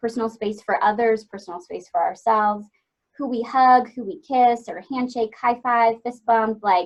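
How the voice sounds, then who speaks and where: A woman speaks with a fairly high pitch and ordinary pitch variation. Her loudness swings widely. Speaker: webinar presenter, family support counselor. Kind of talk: educational webinar presentation. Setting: online webinar. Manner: fast.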